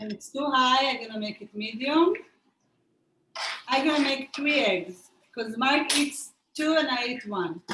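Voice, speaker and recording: A woman's raised, projected voice with a non-native accent, high pitch and bright, sharp tone, at a fairly slow pace with lively intonation and long, frequent pauses. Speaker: cooking instructor. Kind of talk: cooking tutorial. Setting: video call.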